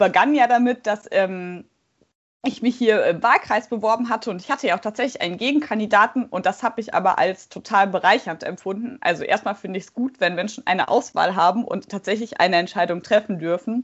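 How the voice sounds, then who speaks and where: A woman speaks in an unremarkable speaking voice at a fairly high pitch with ordinary pitch variation. Her loudness swings widely. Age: 20s. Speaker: parliamentary candidate and law doctoral student. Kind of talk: interview.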